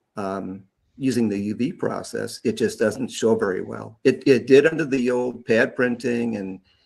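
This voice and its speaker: On a very clean recording with a silent background, a man at a medium pitch speaks at a moderate pace with vocal fry and ordinary pitch variation. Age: 60s. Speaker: custom guitar pick maker. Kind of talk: casual interview on live stream. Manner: halting, many fillers and repeats.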